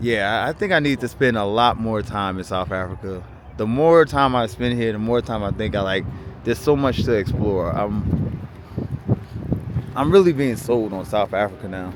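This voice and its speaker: With ordinary pitch variation and a moderate pace, the speech comes through noticeable background noise. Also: man, fairly low pitch for a man. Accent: strong New York. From New York. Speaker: travel vlogger. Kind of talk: casual travel vlog chat, livestream.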